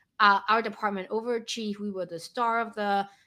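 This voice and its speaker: A woman with a non-native accent speaks at a moderate pace, her pitch fairly high and her tone bright and sharp. The recording is very clean, with a silent background. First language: not English. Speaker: podcast co-host. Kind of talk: casual chat.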